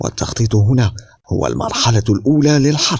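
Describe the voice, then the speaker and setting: At a fairly slow pace, a man speaks in a somewhat breathy voice with lively intonation. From Algeria. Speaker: voice-over artist. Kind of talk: wildlife documentary narration.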